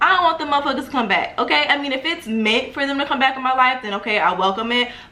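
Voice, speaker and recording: Animated in tone and lively in intonation, a woman speaks with audible room echo and noticeable background noise. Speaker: spiritual lifestyle YouTuber. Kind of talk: tutorial. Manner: casual, animated.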